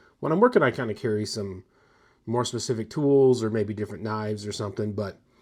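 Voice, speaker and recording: Very fast, fairly low man's voice with ordinary pitch variation on a very clean recording with a silent background. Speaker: gear reviewer YouTuber. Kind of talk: casual show-and-tell vlog. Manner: casual, with many fillers.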